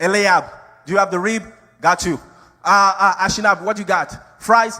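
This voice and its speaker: A man with an African accent speaks in a raised, projected voice at a moderate pace and high pitch. His tone is animated, bright and sharp. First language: not English. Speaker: pastor. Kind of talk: sermon.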